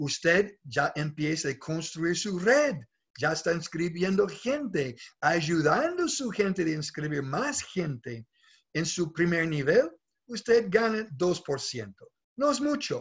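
Against a quiet background, a man with a high voice speaks at a very slow pace, his pitch swinging very widely. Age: 60s. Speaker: network marketing leader; presenter. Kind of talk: sales pitch. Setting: video call. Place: home room. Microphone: webcam.

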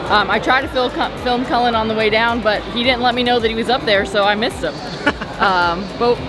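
A woman at a fairly quick pace with clear music in the background. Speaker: travel vlogger. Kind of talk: casual vlog chat. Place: boat. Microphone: phone near.

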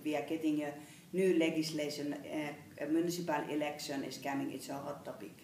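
Speaking with a Finnish accent and a very deep, low pitch, a woman is heard with audible room echo and light background noise. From Finland. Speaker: health policy official. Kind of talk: interview. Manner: halting. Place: meeting room. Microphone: camera far.

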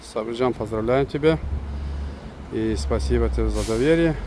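At a moderate pace, the speech comes through with a dry sound with no echo over light background noise. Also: man. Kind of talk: car walkaround promo commentary. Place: street. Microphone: phone near.

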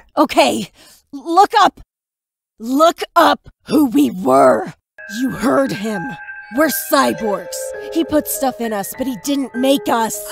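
Faint music plays behind a put-on character voice that is fairly high in pitch and delivered at a very slow pace. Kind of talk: voice-acted comic dub. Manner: brash, aggressive, hot-tempered.

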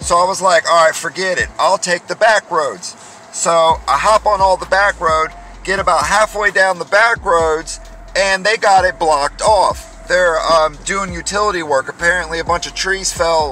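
Moderate pace, dry sound without echo, and light background noise. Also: man. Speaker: driver vlogger. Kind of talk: casual vlog chat. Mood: annoyed, venting. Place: car. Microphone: phone near.

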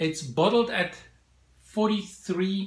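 Audible room echo around a man's voice of ordinary pitch variation. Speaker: whisky reviewer. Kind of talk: product review. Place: home room.

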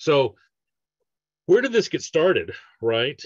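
A man speaks at a slow pace with a fairly high pitch. His voice has a slightly husky edge and big pitch swings.

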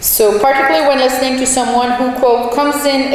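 A woman's voice with strong room echo and light background noise. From Canada. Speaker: sociology professor. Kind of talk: lecture. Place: hall. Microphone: podium.

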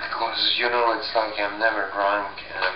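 Noticeable background noise runs under the recording. A man speaks at a moderate pace. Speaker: vlogger. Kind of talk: casual vlog chat. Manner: slurred, sluggish drunk speech. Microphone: webcam.

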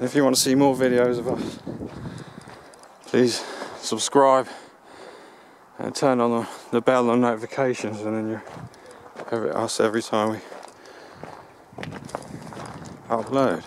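Over noticeable background noise, a man speaks at a moderate pace in monotone, flat intonation with long, frequent pauses and a dry sound with no echo. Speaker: explorer vlogger filming. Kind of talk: casual vlog chat. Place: open country. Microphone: phone near.

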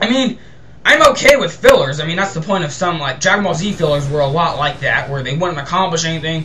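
At a very fast pace and a high pitch, a man talks with ordinary pitch variation through noticeable background noise. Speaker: gameplay video host. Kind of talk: angry rant about kids' TV, then gameplay commentary. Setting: home recording, game commentary. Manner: ranting, fast, worked-up, swearing; hyper, excitable, rambling, repeats words.

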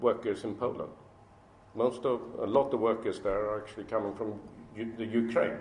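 A man at a moderate pace, with audible room echo. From Sweden. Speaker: business executive; speaker. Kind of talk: speech to an audience. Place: hall. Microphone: podium.

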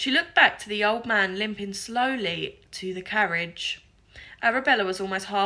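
Unforced voice, reading aloud

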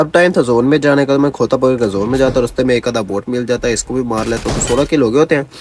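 Fast-paced speech comes from a man with a medium pitch, a slightly husky edge, a slightly mellow tone and ordinary pitch variation.

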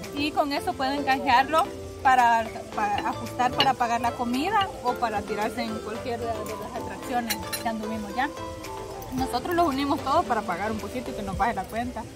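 Fairly quick speech with a dry sound with no echo and clear music in the background. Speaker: vlogger. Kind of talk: casual vlog chat. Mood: cheerful, later nervous joking. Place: open country. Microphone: phone near.

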